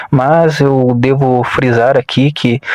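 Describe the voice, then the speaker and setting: A man talks at a medium pitch with fairly even intonation. The sound is dry and close with no echo, and there is noticeable background noise. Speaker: motivational content creator. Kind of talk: reflective motivational monologue. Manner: conversational, informal asides.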